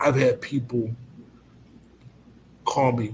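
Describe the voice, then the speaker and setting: The man talks very slowly in a somewhat breathy voice. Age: 50s. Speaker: college president. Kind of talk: testimony.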